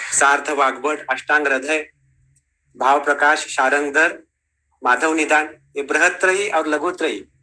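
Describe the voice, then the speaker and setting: With a Marathi accent, a man speaks in a fairly high, bright and sharp voice, with fairly even intonation and very even loudness. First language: Marathi (speaking Hindi). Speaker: ayurveda teacher. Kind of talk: lecture.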